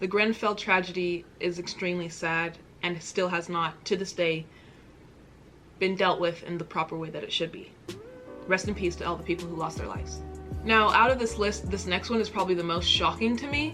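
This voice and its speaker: Over music in the background, a woman speaks at a fairly quick pace and a fairly low pitch with ordinary pitch variation. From United States. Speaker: YouTube reaction creator. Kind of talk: casual talk to camera.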